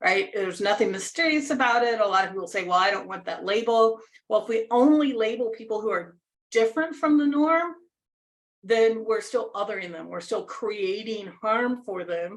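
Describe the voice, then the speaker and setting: A woman with an American accent, an ordinary speaking voice, fairly high pitch, lively intonation and a moderate pace. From United States. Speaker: leadership coach. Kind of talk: workshop presentation.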